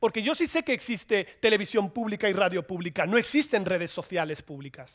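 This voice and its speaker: Pitched high, a man talks at a fairly quick pace in an animated tone with very wide pitch swings. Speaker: political scientist speaker. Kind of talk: conference talk. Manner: fast.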